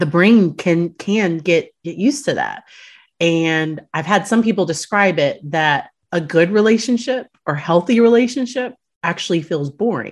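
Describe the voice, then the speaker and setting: In an ordinary speaking voice, a woman talks at a fairly slow pace with a medium pitch. Her intonation is lively, and the background is quiet. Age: 30s. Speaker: clinical psychologist. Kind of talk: casual chat.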